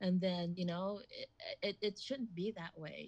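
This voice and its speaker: With fairly even intonation, a woman speaks at a medium pitch in a somewhat breathy voice. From Philippines-born, raised in Hawaii. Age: 50s. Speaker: executive chef. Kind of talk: casual interview chat.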